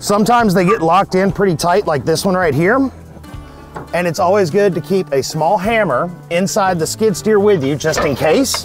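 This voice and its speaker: A man's high voice at a moderate pace, with ordinary pitch variation and very even loudness, dry with no echo, over clear music in the background. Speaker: equipment operator instructor. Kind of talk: tutorial. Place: open country.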